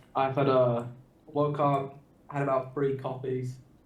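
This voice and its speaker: This man's voice sits at a medium pitch and stays monotone and flat. Audible room echo surrounds it. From UK. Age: 20s. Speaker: Magic card game player. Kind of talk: casual chat.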